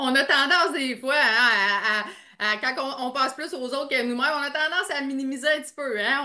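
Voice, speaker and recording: Her voice is raised and projected, with a high pitch. The woman's pitch varies an ordinary amount. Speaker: podcast host, NLP coach. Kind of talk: podcast interview host.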